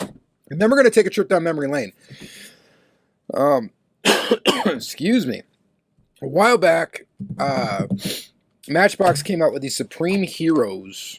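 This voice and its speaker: The speaker moves at a fairly slow pace with very wide pitch swings and long, frequent pauses, in a dry, close sound with no echo. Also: man, high pitch for a man. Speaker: diecast collector YouTuber. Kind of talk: casual haul review. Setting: basement with dehumidifier. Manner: casual, conversational.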